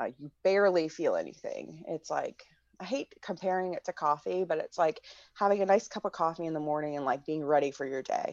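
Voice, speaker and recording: Speaking at a fairly quick pace, a woman uses an ordinary speaking voice with fairly low pitch and ordinary pitch variation. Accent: American. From US Midwest. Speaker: activist. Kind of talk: interview.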